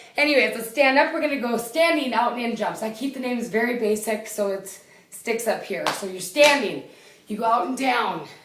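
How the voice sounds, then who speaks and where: Amid audible room echo and noticeable background noise, a woman with a fairly high pitch speaks in an energetic tone. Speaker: fitness competitor and trainer. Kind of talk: workout instruction. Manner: loud; energetic, counting reps.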